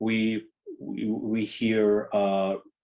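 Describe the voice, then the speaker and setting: A man with a Russian accent speaks in a dark, mellow tone at a medium pitch. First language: not English. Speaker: orchestra conductor. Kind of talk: interview. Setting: video call. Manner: halting, many fillers and repeats.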